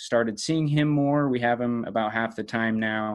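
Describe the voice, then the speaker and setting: Speaking at a moderate pace, a man uses an ordinary speaking voice at medium pitch with fairly even intonation. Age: 20s. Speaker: online fitness coach. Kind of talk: casual interview chat.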